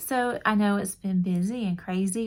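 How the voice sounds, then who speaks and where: A woman speaks at a medium pitch with an American accent and fairly even intonation. The recording is very clean, with a silent background. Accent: Southern, stronger when tired. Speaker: crochet YouTuber. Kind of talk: casual chat. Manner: rambling, casual with fillers.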